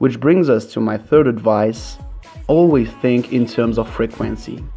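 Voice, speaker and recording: A man with a non-native accent speaks at a medium pitch and a moderate pace, with ordinary pitch variation. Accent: non-native English speaker. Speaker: music producer, mashup maker. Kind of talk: software tutorial narration. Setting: poor-quality home microphone.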